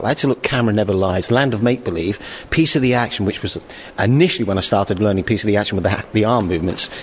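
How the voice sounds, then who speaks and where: A man with a British accent speaks at a very fast pace. His pitch is fairly low, with ordinary variation. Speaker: pop group singer. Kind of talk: recorded interview.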